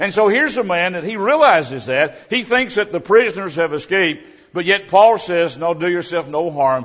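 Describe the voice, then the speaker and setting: A man's high-pitched voice with lively intonation, at a moderate pace. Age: 70s. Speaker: visiting preacher. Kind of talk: sermon. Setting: church.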